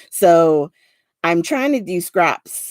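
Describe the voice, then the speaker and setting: A woman speaks with an American accent and a fairly low pitch. The sound is dry and close, with no echo. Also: very clean recording, silent background. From US Northeast, South Jersey. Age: 40s. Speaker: crafter hosting livestream. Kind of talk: casual livestream tutorial. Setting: live stream. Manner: casual, slightly halting with fillers.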